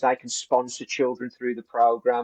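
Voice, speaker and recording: This man speaks with a West Midlands accent. His pitch sits in the medium range. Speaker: business coach. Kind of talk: business discussion. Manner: halting, many restarts.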